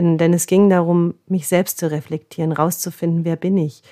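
Speaking at a fairly slow pace, a woman uses a fairly low pitch, a dark, mellow tone and monotone, flat intonation in a very clean recording with a silent background. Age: 40s. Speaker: body therapist and podcast host. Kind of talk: spiritual self-help monologue.

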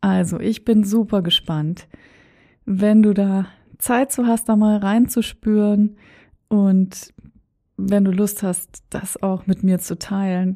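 A woman speaks very slowly in a dark, mellow tone, somewhat breathy, at medium pitch with fairly even intonation. The recording is very clean, with a silent background. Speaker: podcast host and coach. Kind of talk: motivational monologue.

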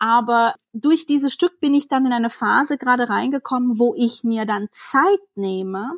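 On a very clean recording with a silent background, a woman with a high pitch speaks at a fairly slow pace with lively intonation. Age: 30s. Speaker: author. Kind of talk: interview conversation.

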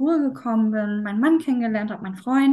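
A woman speaks with a fairly high pitch and a somewhat breathy voice, her pitch swinging very widely. The background is quiet. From northern Germany, Schleswig-Holstein. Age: 40s. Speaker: yoga teacher. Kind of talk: interview.

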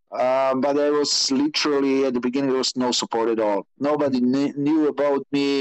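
Delivered at a fairly quick pace with a Slovenian accent, the speech has monotone, flat intonation and very even loudness, in a dry, close sound with no echo. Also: man, fairly high pitch for a man. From Slovenia, Maribor. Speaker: rally motorbike racer. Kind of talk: interview. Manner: halting.

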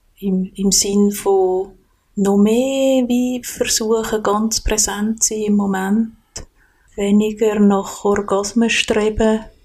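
A dark, mellow tone at a very slow pace, with monotone, flat intonation and long, frequent pauses. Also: woman, medium pitch for a woman, very even loudness. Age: 40s. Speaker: podcast guest. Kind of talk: personal interview. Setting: kitchen at home.

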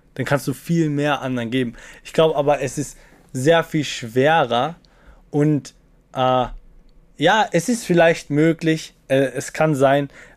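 A man talks at a very slow pace with long, frequent pauses. The recording is very clean and the background silent. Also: ordinary pitch variation. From Austria, Salzburg small town. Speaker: TikToker and student. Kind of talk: podcast interview.

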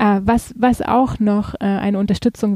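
A woman's medium-pitched voice, dark and mellow in tone, in a dry, close sound with no echo. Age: 30s. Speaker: patient advocacy group founder. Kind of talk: casual interview.

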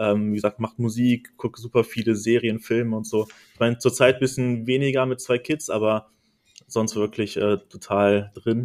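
In a dry, close sound with no echo, a man talks at a moderate pace and medium pitch in a flat monotone. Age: 30s. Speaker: video editor. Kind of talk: casual chat.

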